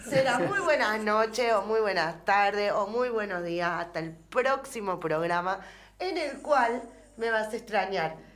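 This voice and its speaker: Speaking at a fairly slow pace, a woman uses lively intonation against noticeable background noise and audible room echo. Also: fairly high pitch for a woman. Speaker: radio co-host. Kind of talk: casual chat.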